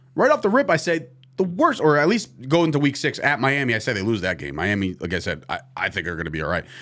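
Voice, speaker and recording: Vocal fry marks a man's fairly quick speech on a very clean recording with a silent background. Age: 30s. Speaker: sports podcast host. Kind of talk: casual chat. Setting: studio.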